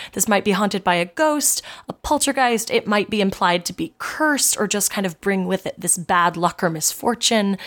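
A woman talks at a fairly quick pace in an unremarkable speaking voice of medium pitch. The recording is very clean, the background silent. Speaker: podcast co-host. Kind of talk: casual comedy podcast chat, reading lore aloud.

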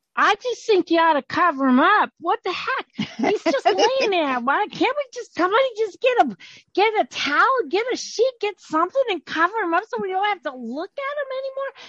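A shrill, put-on character voice with very wide pitch swings at a moderate pace, hardly any pauses, and a dry, close sound with no echo. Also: woman, extremely high pitch for a woman. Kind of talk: comic improv overacting. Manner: hysterical, shrill, panicky.

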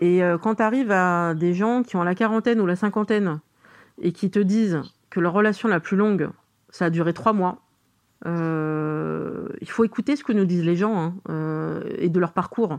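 Against a quiet background, a woman talks at a fairly slow pace with a medium pitch and ordinary pitch variation. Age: 40s. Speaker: interviewee sharing dating life. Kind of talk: interview. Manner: hesitant, many fillers.

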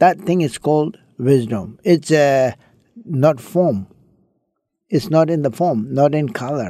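Very slowly, a man with a Tibetan accent speaks in a fairly high pitch, his tone dark and mellow and his intonation lively. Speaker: Buddhist monk. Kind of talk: interview. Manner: halting.

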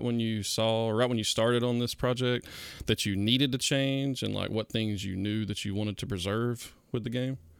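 Recorded very cleanly against a silent background, a man with a Georgia accent talks at a fairly quick pace, medium in pitch and fairly even in intonation. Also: hardly any pauses. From South Georgia, US. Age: 30s. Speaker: podcast host. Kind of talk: announcements; casual chat.

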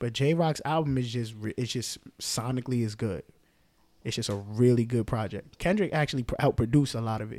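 In a New York accent, a man with a medium pitch speaks at a fairly quick pace. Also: ordinary pitch variation. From New York, the Bronx. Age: 20s. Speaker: event directory founder. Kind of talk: casual chat.

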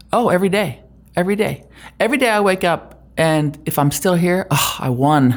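Speaking at a fairly quick pace with lively intonation, a woman has an unremarkable speaking voice and an American accent. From Germany (US military family). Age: 50s. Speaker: tech executive. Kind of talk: interview.

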